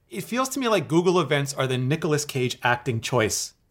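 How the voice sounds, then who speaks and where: A man with a fairly high, somewhat breathy voice speaks at a fairly quick pace. The recording is very clean, with a silent background. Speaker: podcast host and tech video creator. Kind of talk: casual chat. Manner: fast talker.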